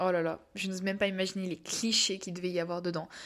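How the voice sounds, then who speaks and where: Against a silent background on a very clean recording, a woman with a medium pitch talks at a fairly quick pace. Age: young. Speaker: podcast host and novelist. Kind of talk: casual monologue. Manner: hesitant, many fillers.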